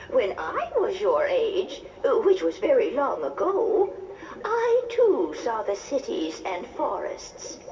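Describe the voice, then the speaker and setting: A woman uses a put-on character voice at an extremely high pitch. She speaks at a fairly slow pace over clear background noise. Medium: read story. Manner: gentle, measured.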